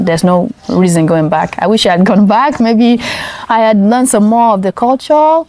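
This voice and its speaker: Noticeable background noise surrounds a woman who talks at a fairly quick pace, with a fairly high pitch and ordinary pitch variation. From Nigeria. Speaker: interviewee. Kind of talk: casual chat. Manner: animated.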